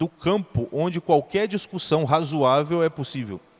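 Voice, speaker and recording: A man's lively intonation, in a dry, close sound with no echo. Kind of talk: lecture.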